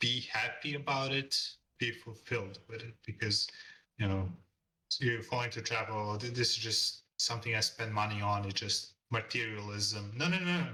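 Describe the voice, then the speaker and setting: A man speaks at a moderate pace with a non-native accent. His medium pitch has ordinary pitch variation and a bright, sharp tone. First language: not English. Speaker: freelance illustrator. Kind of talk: interview. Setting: call.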